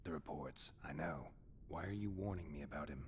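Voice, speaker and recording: A put-on character voice moves at a fairly quick pace. Background noise is clearly audible. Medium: video game. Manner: terse, dry, low-key.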